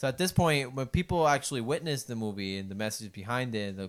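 A man with a Puerto Rican accent talks at a fairly quick pace and medium pitch, his intonation lively. The recording is very clean, with a silent background. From Puerto Rico. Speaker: podcast co-host. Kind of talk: casual chat.

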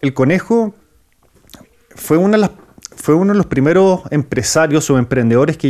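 This man's pitch sits fairly high, and his pace is moderate. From Chile. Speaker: entrepreneur and YouTube interviewer. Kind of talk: interview.

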